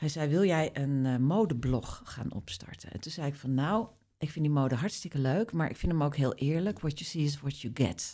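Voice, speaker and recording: Speaking at a moderate pace, a woman uses a very deep, low pitch and a dark, mellow tone with lively intonation. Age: 50s. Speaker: beauty journalist and publisher. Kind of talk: casual chat.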